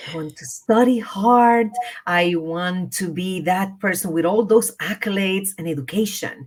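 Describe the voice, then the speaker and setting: A woman's medium-pitched voice in a Spanish accent, with ordinary pitch variation. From Puerto Rico. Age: 50s. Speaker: leadership and wellness coach. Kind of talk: interview.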